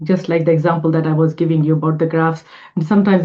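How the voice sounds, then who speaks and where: A woman is speaking. She has a non-native accent. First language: not English. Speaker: homeopath and podcast co-host. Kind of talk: casual interview chat.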